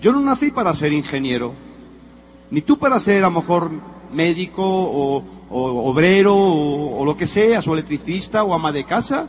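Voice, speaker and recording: Noticeable background noise sits behind a man with a high pitch for a man. He speaks at a moderate pace with very wide pitch swings. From Spain (Madrid). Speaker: motivational speaker, former executive. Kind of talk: motivational talk. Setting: stage with audience. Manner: animated.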